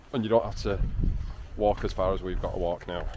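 The speech moves at a fairly quick pace. The sound is dry with no echo, though noticeable background noise is present. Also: man. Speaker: travel vlogger. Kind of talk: casual vlog chat. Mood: cheerful, pleased. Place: open country. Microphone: phone near.

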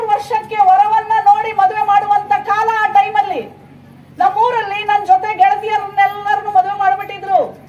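The intonation is monotone and flat. There is audible room echo. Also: woman, extremely high pitch for a woman. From Karnataka, village near Bengaluru. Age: 50s. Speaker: state women's commission chairperson. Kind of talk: public speech. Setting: stage with audience.

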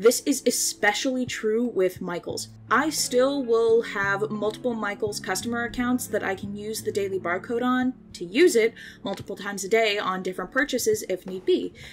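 A woman's fairly high voice at a moderate pace, with ordinary pitch variation and music in the background. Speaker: self-taught artist and animator. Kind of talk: casual commentary over speedpaint. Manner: casual, joking.

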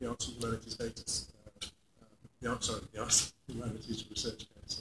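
A man talks at a fairly quick pace, his voice carrying a husky, rough edge.

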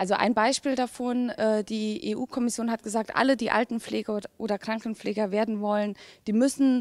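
Against a quiet background, a woman talks at a moderate pace in a fairly high pitch. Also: dry sound with no echo. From Saarland, Germany. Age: young. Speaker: politician. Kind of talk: interview. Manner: hesitant with many fillers. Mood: friendly, relaxed. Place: hall. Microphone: handheld.

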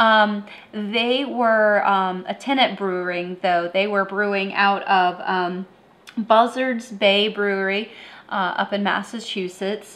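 A woman speaks at a very slow pace, her intonation fairly even. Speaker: beer review show host. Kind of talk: review commentary. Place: home room.

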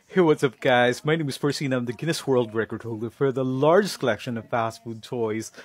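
Ordinary pitch variation in a dry sound with no echo. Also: man. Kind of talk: casual vlog chat. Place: home room. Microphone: headset.

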